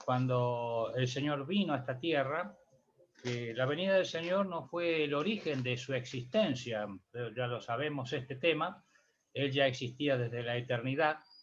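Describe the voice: A man talks at a medium pitch. Audible room echo is present.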